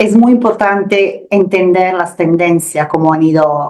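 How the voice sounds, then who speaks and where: A woman with an Italian accent, fairly low pitch, fairly even intonation, and a moderate pace. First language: Italian (speaking Spanish). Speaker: security research analyst. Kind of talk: expert interview. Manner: halting, with repetitions.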